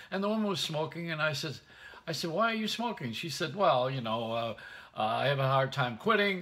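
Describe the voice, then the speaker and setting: A bright, sharp tone at a fairly quick pace, with very wide pitch swings. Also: man. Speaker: radio, television host. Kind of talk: casual vlog chat, comic storytelling. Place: home room. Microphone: phone near.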